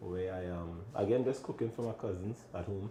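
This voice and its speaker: Over noticeable background noise, a man with a strong Trinidadian accent speaks at a moderate pace in a very deep, low pitch with ordinary pitch variation. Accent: thick Trinidadian. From Trinidad and Tobago. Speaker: chef and restaurant owner. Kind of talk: casual interview chat.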